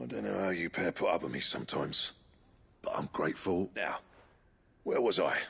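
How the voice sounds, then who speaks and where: A man's raspy put-on character voice, fairly quick yet broken by long, frequent pauses. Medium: video game. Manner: gruff, curt.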